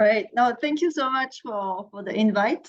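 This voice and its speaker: A woman speaks with a French accent. Her intonation is lively. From France. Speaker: mentoring program manager. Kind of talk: webinar presentation.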